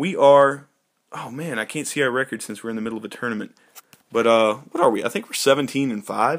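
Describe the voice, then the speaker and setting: A man's plain, everyday voice at a medium pitch and fairly quick pace, with big swings in loudness and ordinary pitch variation. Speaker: gaming YouTuber. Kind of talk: gameplay commentary. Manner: casual, filler-heavy.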